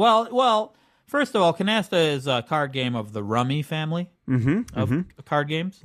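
At a moderate pace, a man with a fairly high pitch speaks with very wide pitch swings and long, frequent pauses. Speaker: podcast co-host.

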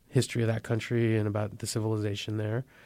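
In a very clean recording with a silent background, a man with a Californian accent talks at a medium pitch in a flat monotone. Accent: General American (California). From US, San Francisco Bay Area. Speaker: journalist. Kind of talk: interview. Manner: hesitant, with fillers and repeated words.

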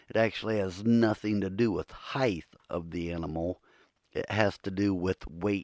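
A man with a very deep, low pitch speaks with fairly even intonation in a dry, close sound with no echo. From Ohio. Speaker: podcast host, Bigfoot researcher. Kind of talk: solo podcast monologue. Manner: casual, rambling.

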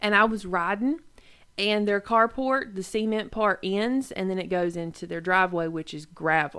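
A woman with a North Carolina accent talks at a moderate pace with a bright, sharp tone, a medium pitch and ordinary pitch variation, on a very clean recording with a silent background. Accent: US Southern (North Carolina). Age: 20s. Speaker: podcast co-host. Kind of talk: casual chat.

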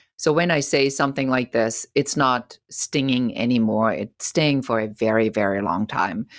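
A woman with a German accent speaks in a very deep, low voice, recorded very cleanly against a silent background with a dry, close sound and no echo. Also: ordinary pitch variation, moderate pace, hardly any pauses. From Germany. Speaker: entrepreneur. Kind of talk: interview.

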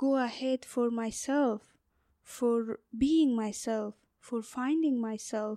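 Very slow woman's voice in an Afghan accent, high-pitched with a dark, mellow tone, dry and close with no echo. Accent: Afghan (Uzbek-speaking) accent in English. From northern Afghanistan. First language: Uzbek. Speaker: LGBTQ rights activist. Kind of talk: interview. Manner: halting, many fillers.

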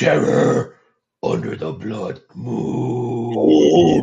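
In a put-on character voice, a man sounds raspy, with a very deep, low pitch and very wide pitch swings. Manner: gruff, primitive.

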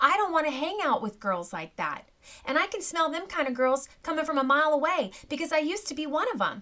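Projecting a raised voice, a woman speaks at a fairly quick pace with a high pitch, a bright, sharp tone and lively intonation. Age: 40s. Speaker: podcast host and homesteading mom. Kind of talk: casual chat. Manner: animated.

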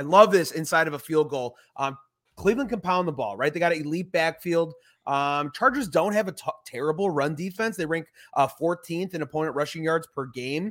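In a plain, everyday voice, a man with an American accent talks at a fairly quick pace, his pitch fairly high with ordinary variation and big swings in loudness. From Chicago, US. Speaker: podcast host. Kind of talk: casual sports betting chat.

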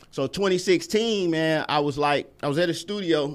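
A man with an American accent, fairly high-pitched, with lively intonation. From US South, Atlanta (East Lake). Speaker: musician and producer. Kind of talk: casual interview. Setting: studio.

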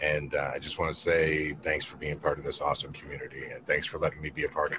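Very fast speech runs on with noticeable background noise. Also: man. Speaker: cannabis podcast host. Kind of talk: casual chat. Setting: video call.

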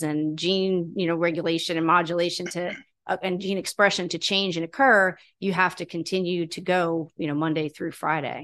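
A woman's fairly low pitch, fairly even intonation, and fairly quick pace, an ordinary speaking voice over a quiet background. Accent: American. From New York (Catskill, Long Island). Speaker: hyperbaric clinic operator, executive. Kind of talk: interview conversation.

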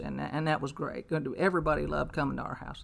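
In a Kentucky accent, a woman speaks at a fairly quick pace. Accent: Kentucky Southern. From Louisville, Kentucky. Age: 60s. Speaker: recovering alcoholic. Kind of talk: testimony. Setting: in-person in a backyard shop.

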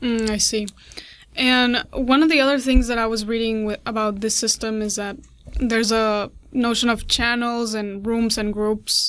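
A non-native accent at a moderate pace with monotone, flat intonation. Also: woman, fairly high pitch for a woman. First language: not English. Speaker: interviewer. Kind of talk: casual interview.

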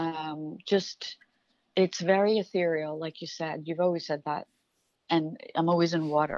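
The speaker has an American accent and talks at a fairly slow pace. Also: woman. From New York. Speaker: tarot reader. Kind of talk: casual chat.

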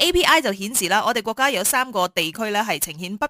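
Over noticeable background noise, a woman with a fairly high pitch talks at a fairly quick pace with very wide pitch swings, in a dry, close recording with no echo. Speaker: radio host. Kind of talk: morning radio news discussion.

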